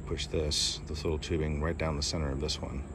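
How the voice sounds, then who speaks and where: A man speaks over noticeable background noise. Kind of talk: tutorial. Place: home room. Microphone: phone near.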